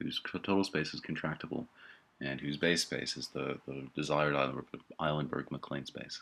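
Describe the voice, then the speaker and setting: Using a very deep, low pitch with vocal fry, a man talks at a moderate pace with fairly even intonation. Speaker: mathematician. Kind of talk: software tutorial voiceover.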